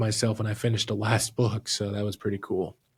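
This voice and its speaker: A somewhat breathy man at a fairly low pitch, monotone with flat intonation, on a very clean recording with a silent background. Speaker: director and script writer of fan film. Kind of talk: casual chat.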